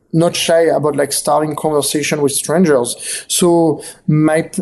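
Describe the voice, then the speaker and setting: This man has a fairly high pitch and speaks with a strong French accent. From south of France. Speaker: photographer and author. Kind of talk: interview. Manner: halting, many fillers and repetitions.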